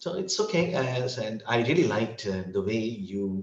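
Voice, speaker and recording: Lively intonation in a somewhat breathy voice with an American accent. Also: man. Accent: between British and American, somewhat Indian. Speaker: English tutor. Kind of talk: casual interview conversation.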